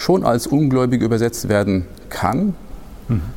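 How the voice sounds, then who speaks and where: This is a man speaking at a medium pitch. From Hesse, Germany. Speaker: Islamic studies researcher. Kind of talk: expert interview. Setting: studio recording in a church. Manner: hesitant, many fillers.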